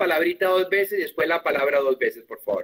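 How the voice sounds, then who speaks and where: Against a quiet background, a man with a German accent speaks at a high pitch with ordinary pitch variation. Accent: Spanish sounds German-tinged. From Colombia. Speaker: German teacher. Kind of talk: online class. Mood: warm, friendly, joking. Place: home room.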